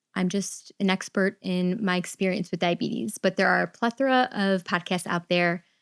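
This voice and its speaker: An unremarkable speaking voice moves at a moderate pace. The sound is dry and close, with no echo. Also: woman, very clean recording, silent background. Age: 30s. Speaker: podcast host with type 1 diabetes. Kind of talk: personal podcast monologue. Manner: conversational with filler words.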